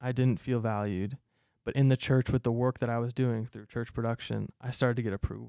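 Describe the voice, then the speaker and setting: A man's medium-pitched voice with an American accent, dark and mellow in tone, fairly quick and fairly even in intonation, in a dry, close sound with no echo. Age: 20s. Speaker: youth pastor. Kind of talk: casual chat. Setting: studio.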